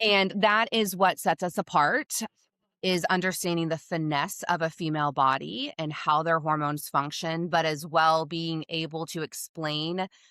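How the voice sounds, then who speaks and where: A woman speaks in a fairly low pitch with ordinary variation and a bright, sharp tone. The sound is dry and close, with no echo. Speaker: women's hormone health expert. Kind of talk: interview.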